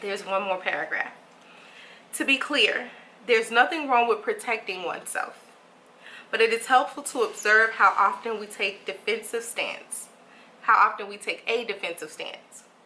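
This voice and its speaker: There is noticeable background noise as a woman speaks at a moderate pace with a fairly high pitch. She leaves long, frequent pauses, and her loudness swings widely. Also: ordinary pitch variation. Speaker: meditation guide and life coach. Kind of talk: casual book reading and reflection to camera. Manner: gentle, soft-spoken.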